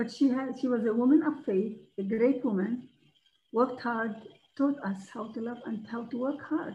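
A woman with a Levantine Arabic accent, a fairly high pitch, a dark, mellow tone, ordinary pitch variation and a moderate pace. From Palestine and Jordan (born Ramallah, raised Jordan). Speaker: charity founder. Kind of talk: interview, personal story.

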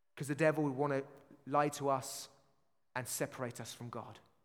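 The speaker has a British accent. The tone is animated. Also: man. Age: 40s. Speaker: pastor. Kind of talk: sermon. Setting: church.

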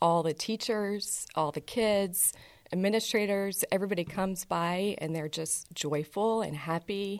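On a very clean recording with a silent background, a woman with a plain, everyday voice talks at a moderate pace. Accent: American. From Houston, Texas. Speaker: school spirit store director. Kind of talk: casual chat.

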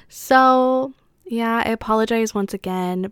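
A woman's normal speaking voice, fairly high in pitch with ordinary pitch variation, in a very clean, dry, close recording with no echo and a silent background. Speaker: podcast host. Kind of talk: casual solo podcast commentary. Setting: alone in her room.

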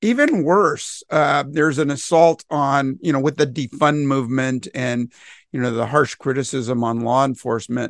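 In an ordinary speaking voice, a man with a fairly high pitch and ordinary pitch variation is recorded with a dry, close sound with no echo and a quiet background. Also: moderate pace. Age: 60s. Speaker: retired police officer, podcast host. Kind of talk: panel discussion.

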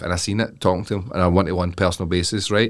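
Speaking at a very fast pace, a man talks with a Scottish accent. The recording is very clean, with a silent background. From Scotland. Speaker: comedian. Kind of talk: casual chat.

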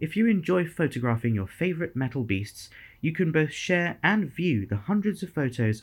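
On a very clean recording with a silent background, a somewhat breathy man speaks with very wide pitch swings. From London, England. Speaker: podcast host and student pilot. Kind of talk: scripted presenting.

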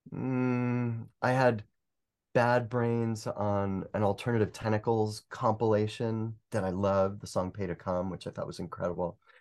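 In an unremarkable speaking voice, a man talks fairly slowly at a fairly low pitch with fairly even intonation against a quiet background. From US Midwest, Cleveland, Ohio. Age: 50s. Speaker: musician and composer. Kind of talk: interview conversation.

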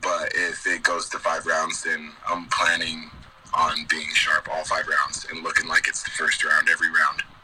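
A man with an American accent speaks at a moderate pace. Background noise is noticeable. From Utah, US. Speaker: bare-knuckle boxer. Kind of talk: interview. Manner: halting, many filler words.

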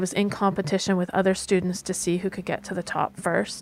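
A woman with a Western Canadian accent talks at a fairly quick pace in a medium pitch, her intonation flat and monotone. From Lower Mainland, British Columbia. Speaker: student teacher. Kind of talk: prepared reflection.

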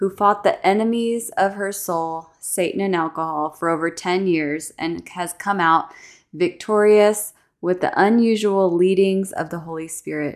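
A woman with an American accent has an ordinary speaking voice. She talks at a fairly slow pace with fairly even intonation. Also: very clean recording, silent background. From Texas. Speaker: podcast host. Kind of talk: casual interview chat.

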